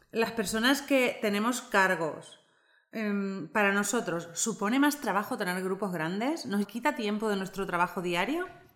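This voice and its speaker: At a fairly slow pace, a woman talks with lively intonation at a medium pitch over noticeable background noise. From Argentina. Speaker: podcast co-host. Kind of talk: podcast interview.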